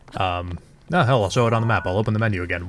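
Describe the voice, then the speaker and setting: With noticeable background noise behind him, a man speaks very fast at a fairly low pitch. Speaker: let's play gamer. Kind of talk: casual gameplay commentary. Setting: home, late night.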